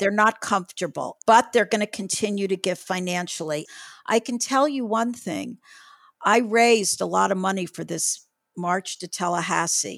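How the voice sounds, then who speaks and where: On a very clean recording with a silent background, a woman with an unremarkable speaking voice talks at a moderate pace, her medium pitch showing ordinary variation. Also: dry, close sound with no echo. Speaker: retired judge and abortion rights activist. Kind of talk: casual interview. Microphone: mic was too close, then adjusted.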